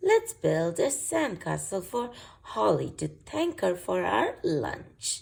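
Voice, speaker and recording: A woman performs a put-on character voice at a fairly slow pace. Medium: read story.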